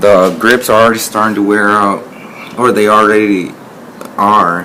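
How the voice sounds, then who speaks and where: A man's fairly low, monotone voice at a moderate pace, its loudness very even, with noticeable background noise. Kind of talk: casual talk to camera.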